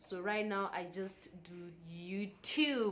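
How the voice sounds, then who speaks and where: Medium-pitched female speech, the room's echo clearly audible. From Kenya, Nairobi. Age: 30s. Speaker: mom vlogger. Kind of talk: casual Q&A vlog. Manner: halting, searching for words.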